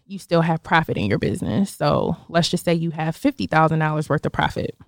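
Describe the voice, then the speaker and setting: Here is a woman with a plain, everyday voice and an American accent. She talks fairly quickly at a fairly low pitch. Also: hardly any pauses. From Buffalo, New York. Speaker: financial services business owner. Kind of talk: interview.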